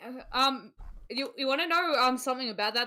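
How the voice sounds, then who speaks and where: A woman with an Australian accent speaks at a fairly quick pace in a high pitch. Her raised, projected voice has lively intonation. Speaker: gaming podcast host. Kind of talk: casual chat.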